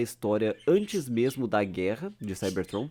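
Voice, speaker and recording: Fairly slow speech from a man at medium pitch with lively intonation, on a very clean recording with a silent background. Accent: strong gaúcho. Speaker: YouTuber. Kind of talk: casual unscripted commentary. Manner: animated.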